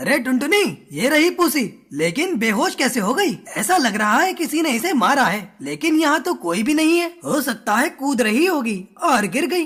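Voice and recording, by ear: A cartoonish character voice pitched high. It moves at a moderate pace with hardly any pauses.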